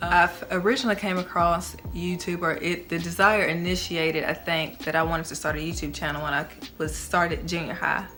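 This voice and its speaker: A woman talks at a moderate pace with a fairly low pitch. Audible room echo and noticeable background noise are present. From Tennessee. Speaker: YouTuber. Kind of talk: casual vlog talk. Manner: casual, filler-heavy.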